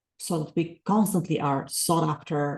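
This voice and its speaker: A woman with a non-native accent speaks at a moderate pace in a very deep, low pitch with a dark, mellow tone. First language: not English. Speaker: author and life coach. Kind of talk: podcast interview. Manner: hesitant fillers.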